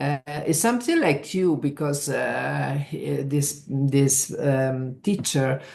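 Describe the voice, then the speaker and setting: Very slow delivery comes with ordinary pitch variation. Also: woman, very deep, low pitch for a woman. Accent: Italian. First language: Italian. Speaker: trade union leader. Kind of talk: interview. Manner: halting.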